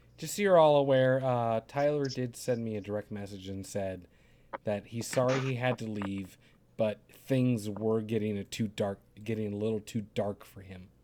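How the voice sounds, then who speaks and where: A man of medium pitch talks at a moderate pace in a dark, mellow tone, with ordinary pitch variation and big swings in loudness. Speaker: live stream host. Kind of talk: heated debate. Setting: video call. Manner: angry ranting; soft-spoken.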